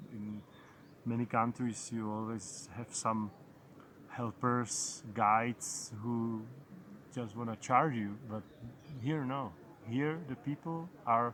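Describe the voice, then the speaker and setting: Speaking with a Czech accent, a man uses a medium pitch. He goes at a very slow pace with long, frequent pauses. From Czech Republic. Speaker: travel vlogger. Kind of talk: casual vlog monologue. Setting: outdoors. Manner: halting, with repetitions.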